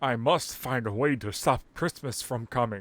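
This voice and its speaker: A man puts on a growling character voice. His pitch is medium and his pace moderate. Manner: growling, snarling.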